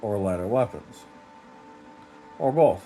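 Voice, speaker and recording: A man speaks with music in the background. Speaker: game reviewer. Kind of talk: casual game review talk.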